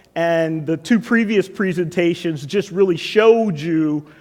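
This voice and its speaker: The speaker has an American accent and a moderate pace. Pitch variation is ordinary. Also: man. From US, Washington DC. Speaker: tech executive. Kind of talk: conference keynote. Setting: stage with audience.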